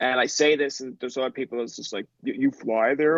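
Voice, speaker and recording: In a Newfoundland accent, a man speaks at a very fast pace and fairly high pitch, in a dry, close sound with no echo. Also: quiet background. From Newfoundland, Goulds near St. John's. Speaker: podcaster. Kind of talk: casual chat. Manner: fast, rambling with many fillers.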